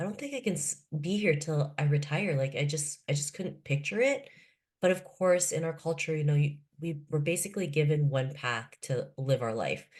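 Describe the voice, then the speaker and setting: A woman with a Canadian accent talks at a moderate pace with ordinary pitch variation. Her voice is very deep, low-pitched and somewhat breathy. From Canada, Toronto (moved from Philippines at 7). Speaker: author and keynote speaker. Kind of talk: podcast interview.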